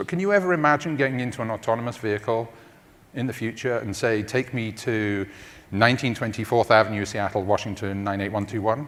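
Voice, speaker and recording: A man with a London accent talks at a very fast pace. His pitch is medium and his intonation lively. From London, England. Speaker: tech company research executive. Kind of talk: conference talk.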